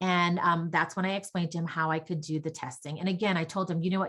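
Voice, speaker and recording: Speaking very fast, a woman uses a fairly low pitch. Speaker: audiologist. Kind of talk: conference lecture. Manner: loud when excited.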